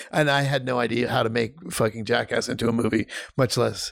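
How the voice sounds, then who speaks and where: The man's voice sits at a medium pitch with vocal fry and fairly even intonation. He talks at a fairly quick pace in a dry, close sound with no echo. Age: 50s. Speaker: film director. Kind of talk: casual chat.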